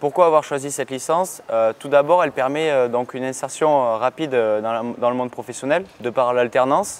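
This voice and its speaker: In a normal speaking voice, a man talks at a fairly quick pace with hardly any pauses, using a medium pitch and ordinary pitch variation. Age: 20s. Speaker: work-study student in purchasing. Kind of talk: interview testimony.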